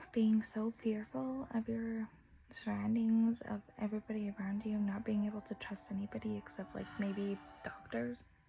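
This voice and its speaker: At a moderate pace, a woman speaks in a medium-pitched voice with ordinary pitch variation. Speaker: vlogger sharing mental health story. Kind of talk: personal testimony. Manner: halting, zoning out mid-speech.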